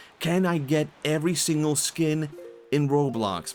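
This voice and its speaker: Music plays in the background as a man speaks. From Sweden. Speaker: vtuber streamer. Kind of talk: casual chat while gaming.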